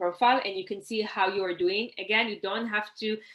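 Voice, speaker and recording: A woman's medium-pitched voice with an Israeli accent. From Israel, Haifa. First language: Hebrew. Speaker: networking coach, workshop presenter. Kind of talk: online workshop presentation. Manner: conversational, frequent fillers.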